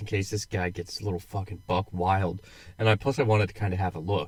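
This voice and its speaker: On a very clean recording with a silent background, a man talks very fast with a fairly low pitch, ordinary pitch variation and a somewhat breathy voice. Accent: American. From United States. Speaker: podcast co-host, military veteran. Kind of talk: casual chat.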